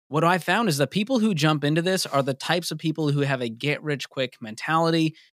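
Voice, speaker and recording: Speaking at a very fast pace with an American accent, a man uses ordinary pitch variation in a dry, close recording with no echo and a very clean, silent background. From US Northeast, Boston. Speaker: personal finance radio cohost. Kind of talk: podcast interview.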